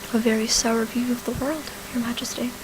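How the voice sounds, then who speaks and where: Soft-spoken and calm in tone, the voice stays flat and monotone over noticeable background noise. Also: woman. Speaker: YouTuber who usually makes Minecraft and singing videos. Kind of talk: ASMR audiobook-style reading of a fantasy story with dialogue. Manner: soft-spoken, quiet, calm.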